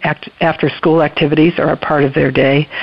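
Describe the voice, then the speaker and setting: A woman's voice over noticeable background noise. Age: 70s. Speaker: retired educator and grandmother. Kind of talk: interview.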